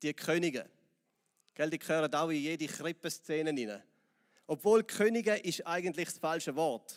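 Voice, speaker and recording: In a Swiss accent, a man speaks at a fairly high pitch, the sound dry and close with no echo. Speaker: pastor. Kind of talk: sermon.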